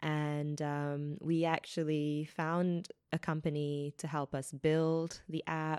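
A woman with a New Zealand accent speaks very slowly with hardly any pauses, her very deep, low pitch held in monotone, flat intonation, on a very clean recording with a silent background and a dry, close sound with no echo. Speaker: startup founder and CEO. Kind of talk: interview. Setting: recording at a borrowed venue. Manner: frequent filler words.

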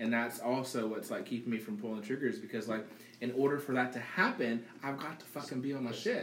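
The delivery is animated and fairly quick, with noticeable background noise behind it. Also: man, medium pitch for a man, ordinary pitch variation. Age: 30s. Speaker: podcast guest. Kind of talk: casual chat.

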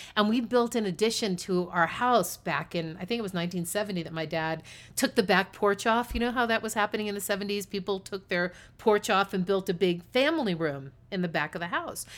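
An unremarkable speaking voice with an American accent moves at a fairly quick pace with ordinary pitch variation. The recording is very clean, with a silent background. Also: woman, medium pitch for a woman. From US East Coast. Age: 50s. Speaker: podcast co-host. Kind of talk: casual chat.

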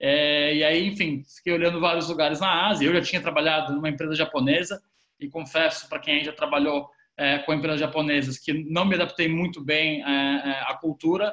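A fairly high-pitched man, bright and sharp in tone, fairly quick and fairly even in intonation. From Brazil, São Paulo city. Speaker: business consultant, former lawyer. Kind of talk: podcast interview.

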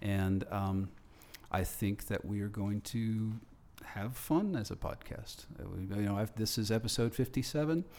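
In a dark, mellow tone, a man with a fairly low pitch speaks at a fairly slow pace with ordinary pitch variation. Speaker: radio host. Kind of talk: panel discussion, casual chat. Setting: studio.

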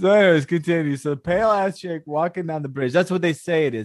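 Against a quiet background, a man with an American accent and an unremarkable speaking voice talks at a fairly quick pace with lively intonation. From Houston, Texas. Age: 40s. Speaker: podcast co-host. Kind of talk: casual chat. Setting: video call.

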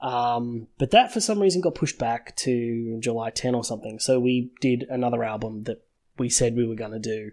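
A man with an Australian accent at a medium pitch, ordinary pitch variation, in a very clean recording with a silent background. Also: moderate pace. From Sydney, Australia. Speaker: podcast host. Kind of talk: casual chat.

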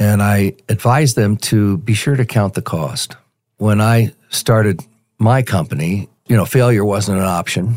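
A man with a General American accent and an ordinary speaking voice, fairly low in pitch with ordinary variation, fairly slow, in a very clean recording with a silent background and a dry, close sound with no echo. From Colorado, Denver. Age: 60s. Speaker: retired sales executive and mentoring ministry volunteer. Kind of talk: interview.

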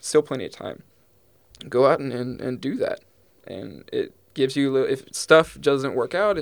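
With an American accent, a man delivers his words at a fairly quick pace. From East Texas. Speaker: wildlife student and podcaster. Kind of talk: casual interview.

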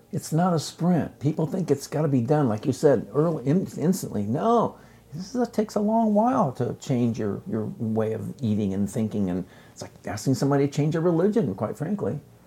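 Fairly high-pitched male speech, fairly quick in pace and swinging very widely in pitch. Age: 70s. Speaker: chef and author. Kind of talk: casual chat.

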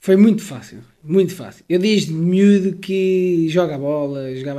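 A man using a normal speaking voice talks at a moderate pace, his intonation lively. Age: 20s. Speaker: personal trainer. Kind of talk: interview. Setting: at home. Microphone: close, clear mic.

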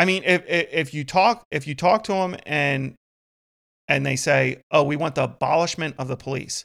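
In a very clean recording with a silent background, a man with a fairly high voice and some vocal fry talks at a fairly quick pace with ordinary pitch variation. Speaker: police officer podcast host. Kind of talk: casual chat. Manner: frequent um filler words.

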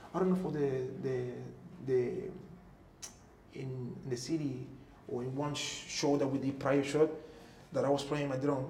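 A man with a Cuban accent, fairly high in pitch, fairly even in intonation, at a moderate pace with long, frequent pauses, over noticeable background noise. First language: Spanish. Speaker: former professional musician. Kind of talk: interview testimony. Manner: halting.

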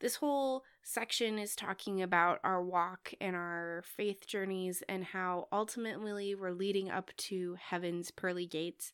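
A woman with a Midwestern American accent speaks at a medium pitch with ordinary pitch variation. Her fairly slow pace has hardly any pauses, on a very clean recording with a silent background. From US Midwest. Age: 20s. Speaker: podcast host, church educator. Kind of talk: solo podcast monologue.

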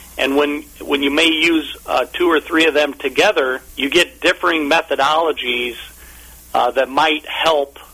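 Over noticeable background noise, a man with an American accent speaks at a fairly slow pace, his fairly high pitch carrying fairly even intonation at very even loudness. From US Midwest (Omaha, Nebraska). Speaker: fund company executive. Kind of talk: radio interview. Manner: halting, many fillers and repetitions.

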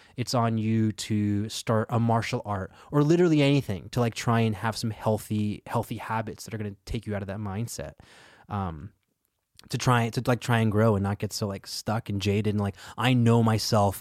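A man talks at a moderate pace in a fairly low pitch, with an ordinary speaking voice. The sound is dry and close with no echo, and the recording is very clean with a silent background. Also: ordinary pitch variation. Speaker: comedian and improviser. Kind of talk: casual chat.

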